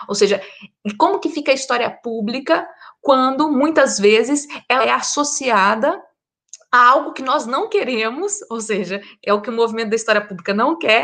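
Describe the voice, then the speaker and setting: Bright and sharp in tone, a woman talks at a moderate pace with a high pitch and lively intonation. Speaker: historian. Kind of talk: panel discussion.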